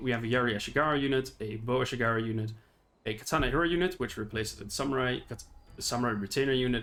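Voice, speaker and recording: Using a non-native accent, a man speaks at a very fast pace in a medium voice with ordinary pitch variation. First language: not English. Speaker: gaming YouTuber. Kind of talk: unscripted gameplay commentary. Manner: halting, with fillers.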